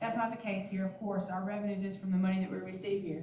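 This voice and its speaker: With audible room echo, a woman speaks in a flat monotone at a medium pitch. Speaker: finance staff presenting budget. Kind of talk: budget presentation at board meeting. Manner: fast.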